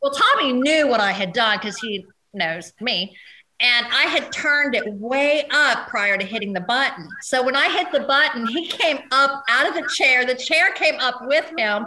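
A raised, projected voice with an American accent, lively intonation and a moderate pace. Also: woman, high pitch for a woman. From US Midwest and South (Cincinnati, southern Indiana, Kentucky, Tennessee). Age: 40s. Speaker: adult film performer. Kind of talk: casual interview chat.

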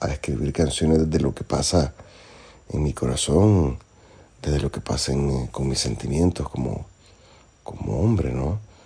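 This man has a very deep, low pitch and a dark, mellow tone. Vocal fry runs through his voice. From Nicaragua. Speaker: singer-songwriter. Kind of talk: interview. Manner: halting, with many fillers.

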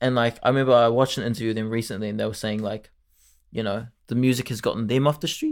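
A man speaks with a New Zealand accent at medium pitch. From New Zealand, Auckland. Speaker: podcast co-host. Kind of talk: casual chat. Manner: animated.

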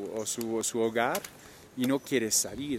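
A man talks at a fairly slow pace, and noticeable background noise can be heard. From France, Normandy. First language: French (speaking Spanish). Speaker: traveler and cultural manager. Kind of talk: interview. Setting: outdoors.

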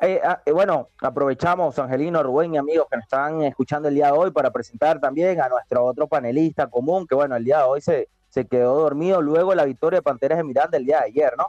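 Speech pours out at a very fast pace with hardly any pauses and very even loudness, dry and close with no echo, over music in the background. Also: man, fairly high pitch for a man, ordinary pitch variation. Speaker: combat sports radio host. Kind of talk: radio talk show.

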